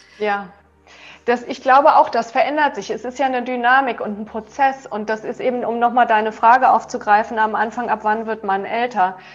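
A woman's normal speaking voice, fairly high in pitch, at a moderate pace with ordinary pitch variation. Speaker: yoga teacher and author. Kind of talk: interview. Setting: video call.

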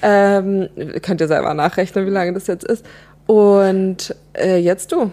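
A woman speaks at a very slow pace with medium pitch and a dark, mellow tone. Her intonation stays monotone and flat. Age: 30s. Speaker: podcast co-host. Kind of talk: casual chat.

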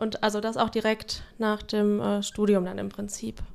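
A woman's fairly high, plain, everyday voice at a moderate pace, on a very clean recording with a silent background. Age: 30s. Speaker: social work team leader. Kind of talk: casual interview.

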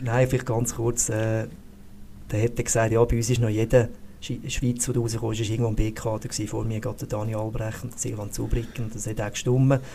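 Dark and mellow in tone, a man's voice is somewhat breathy at a medium pitch. He talks at a fairly quick pace in a flat monotone. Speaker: sports physiotherapist, former ski racer. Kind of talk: podcast interview.

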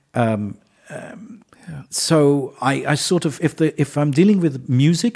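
Somewhat breathy, a man with an English accent has a dark, mellow tone and a fairly high pitch. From England. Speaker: conductor. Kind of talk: casual interview.

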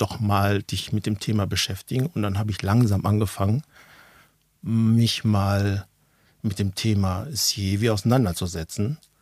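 A man's fairly low voice at a moderate pace, with ordinary pitch variation, dry and close with no echo, on a very clean recording with a silent background. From Ruhr area, Germany (near Dortmund). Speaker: managing director of a safety shoe company. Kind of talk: casual interview. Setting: basement studio with small audience.

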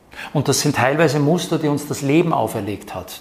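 Noticeable background noise sits behind a man speaking at a moderate pace. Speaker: actor and speech trainer. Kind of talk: interview. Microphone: new microphones, echo in middle part.

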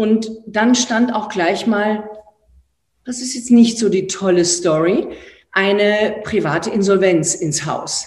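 In an Austrian accent, a woman with a fairly high, somewhat breathy voice speaks at a very slow pace with ordinary pitch variation, and audible room echo surrounds her. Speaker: entrepreneur and author. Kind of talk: online talk. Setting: live online event. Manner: animated.

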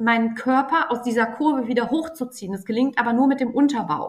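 The woman's voice sits high. Its pitch shifts in an ordinary way. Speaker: athletic trainer. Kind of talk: interview.

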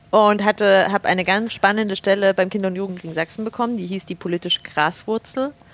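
A woman with a normal speaking voice talks at a fairly quick pace and medium pitch, her intonation fairly even, in a dry, close sound with no echo. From Saxony, village near Chemnitz. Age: 30s. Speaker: political youth education worker. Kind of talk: casual chat. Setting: university building room.

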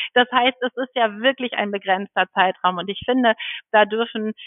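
A woman with a fairly high pitch has an unremarkable speaking voice. She talks at a moderate pace with fairly even intonation. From Schleswig-Holstein, northern Germany. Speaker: midwife. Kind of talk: interview.

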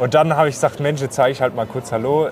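Noticeable background noise under a fairly high male voice. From southwestern Germany, Odenwald. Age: 20s. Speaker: camper dealer and YouTuber. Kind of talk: casual chat. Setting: trade fair floor.

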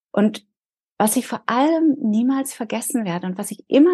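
A woman's voice comes across somewhat breathy, with a dark, mellow tone and lively intonation. The sound is dry and close with no echo. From Berlin, Germany. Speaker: leadership and resilience coach. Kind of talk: interview.

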